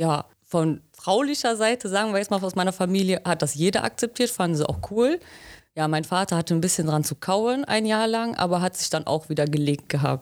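A woman talks in a normal speaking voice with lively intonation and very even loudness. The recording is very clean, with a silent background. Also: medium pitch for a woman, fairly quick pace. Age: 20s. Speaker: trainee pipe fitter. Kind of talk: interview.

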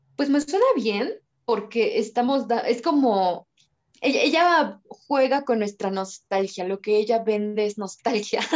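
A woman's fairly high pitch with lively intonation at a fairly slow pace, a plain, everyday voice. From Mexico. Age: 20s. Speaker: photographer and TikTok creator. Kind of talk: casual chat.

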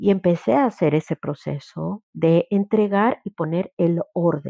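A woman speaks in a fairly low voice with ordinary pitch variation. It is an ordinary speaking voice. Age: 50s. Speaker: grief therapist and workshop leader. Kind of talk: workshop talk.

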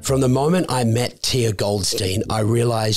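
A somewhat breathy man with a fairly low pitch talks at a moderate pace, with ordinary pitch variation. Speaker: podcast co-host. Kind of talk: casual interview.

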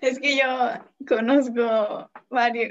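A woman's high-pitched voice. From Mexico, Tamaulipas. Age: 20s. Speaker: young churchgoer guest. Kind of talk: casual chat.

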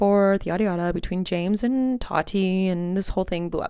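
The recording is very clean with a silent background. A woman speaks at a moderate pace and a medium pitch. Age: 20s. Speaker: podcast host. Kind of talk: solo casual monologue. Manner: casual with filler words.

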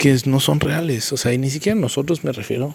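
A man speaks fairly quickly, his pitch varying in an ordinary way, while noticeable background noise sits behind him. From Mexico, Querétaro. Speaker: podcaster and motivational speaker. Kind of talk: solo podcast monologue, reflective commentary.

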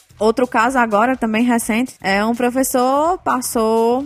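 A woman with a fairly high pitch talks while music plays in the background. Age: 20s. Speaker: education entrepreneur, tutoring business owner. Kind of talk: interview.

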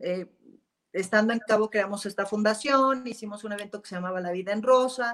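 Her voice has a fairly high pitch. The woman's loudness swings widely. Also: fairly even intonation, fairly quick pace. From Mexico (Jalisco). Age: 40s. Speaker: businesswoman in luxury sector. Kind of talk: interview.

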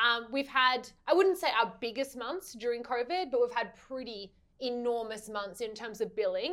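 A woman speaks in a high-pitched voice with an animated tone. Her pitch varies in an ordinary way. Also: moderate pace, hardly any pauses. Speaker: podcast co-host. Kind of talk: casual interview.

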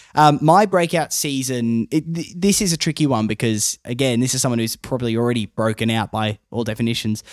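Speaking at a fairly quick pace with hardly any pauses, a man with an Australian accent uses medium pitch and lively intonation in a very clean recording with a silent background. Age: 20s. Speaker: podcast host and radio announcer. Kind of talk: casual chat. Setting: studio.

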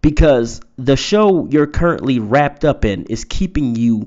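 At a fairly slow pace, a man uses an ordinary speaking voice at medium pitch with ordinary pitch variation. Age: 30s. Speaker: podcast host and poet. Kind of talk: motivational monologue. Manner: casual, with many fillers.

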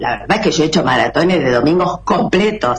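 Against noticeable background noise, a woman with a Rosario accent speaks at a fairly low pitch. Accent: Rioplatense Spanish, Rosario. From Argentina. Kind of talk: casual chat. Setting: video call from home.

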